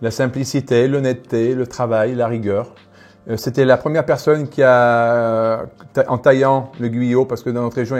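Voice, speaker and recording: Over a quiet background, a man with a medium pitch talks at a moderate pace. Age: 60s. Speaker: winegrower. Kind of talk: casual interview during wine tasting. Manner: animated.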